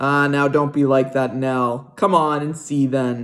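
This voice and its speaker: Soft-spoken and in a put-on character voice, the speaker goes at a fairly slow pace at a low-to-middle pitch. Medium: read story. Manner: folksy, gentle.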